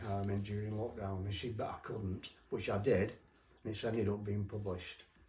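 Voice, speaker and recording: A fairly low-pitched man at a moderate pace, with noticeable background noise. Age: 70s. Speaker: children's author. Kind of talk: casual interview talk. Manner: halting.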